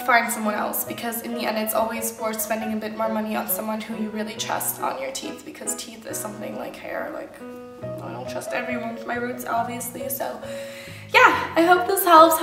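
A woman talking at a fairly quick pace over clear background music. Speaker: vlogger. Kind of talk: casual vlog chat. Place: kitchen. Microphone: phone near.

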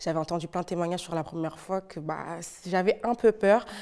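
A woman speaks at a moderate pace with a fairly low pitch and fairly even intonation against a quiet background. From Portugal. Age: 20s. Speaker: teaching assistant and youth activity leader. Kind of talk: testimony. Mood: emotional, recounting trauma. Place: studio. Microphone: lapel.

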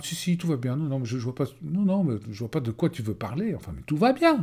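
A man's fairly high, somewhat breathy voice with a dark, mellow tone and very wide pitch swings, over a quiet background. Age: 50s. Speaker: life coach. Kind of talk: webinar presentation. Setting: web conference recording. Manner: hesitant, many fillers. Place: home room. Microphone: webcam.

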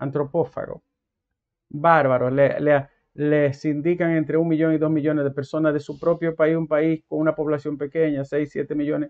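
A man at a moderate pace, flat and monotone in intonation, over a quiet background. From Dominican Republic. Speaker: commentator. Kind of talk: monologue. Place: home room. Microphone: lapel.

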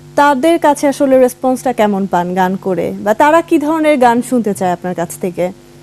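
A woman's high voice, swinging very widely in pitch, is heard with music playing in the background. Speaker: TV talk show host. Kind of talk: live TV interview.

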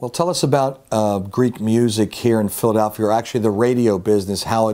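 A man with an American accent speaks very fast in a fairly low, dark, mellow voice with fairly even intonation. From Upper Darby, Pennsylvania. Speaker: interviewer. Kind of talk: casual interview. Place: home room. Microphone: lapel.

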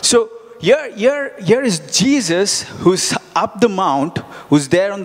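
A man's fairly slow speech carries lively intonation. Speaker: preacher. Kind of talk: sermon with live congregation interaction, Bible reading and teaching. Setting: church with congregation. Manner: conversational, repeats words and phrases, halting, asks audience questions; earnest, encouraging. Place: church. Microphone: handheld.

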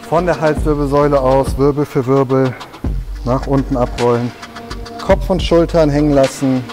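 Clear music plays in the background. The speaker keeps a moderate pace, fairly even intonation and very even loudness. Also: man. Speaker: fitness trainer. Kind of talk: workout instruction. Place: gym.

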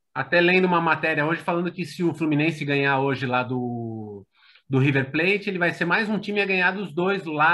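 Over a quiet background, a man with a high pitch speaks with lively intonation. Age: 40s. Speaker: football fan commentator. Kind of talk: casual chat. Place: home room. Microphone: video call.

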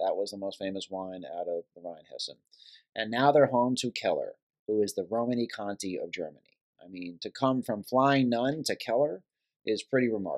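A man with an American accent at a fairly quick pace, against a quiet background. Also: ordinary pitch variation. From New York. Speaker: wine importer; guest. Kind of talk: casual chat. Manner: animated. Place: home room. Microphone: phone near.

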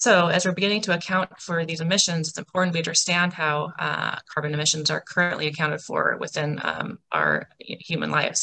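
Her tone bright and sharp, a woman speaks at a fairly low pitch and moderate pace with vocal fry, over light background noise. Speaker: presenter. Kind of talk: timed presentation talk. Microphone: video call.

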